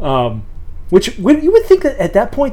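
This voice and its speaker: With noticeable background noise, a man talks at a moderate pace, his pitch swinging very widely. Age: 30s. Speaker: podcast co-host. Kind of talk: casual chat.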